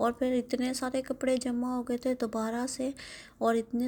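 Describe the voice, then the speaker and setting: A woman with a high pitch and a dark, mellow tone speaks at a moderate pace in monotone, flat intonation, recorded very cleanly against a silent background. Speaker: vlogger. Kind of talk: vlog voiceover narration.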